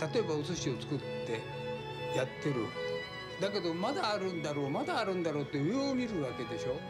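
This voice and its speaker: Loud music plays behind a man talking at a moderate pace. He takes long, frequent pauses. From Japan. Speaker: sushi chef. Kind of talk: documentary interview answer. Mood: calm, reflective. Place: cafe.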